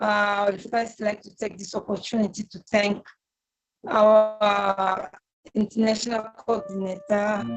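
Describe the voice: A woman's medium-pitched voice, with little pitch movement and a fairly slow pace.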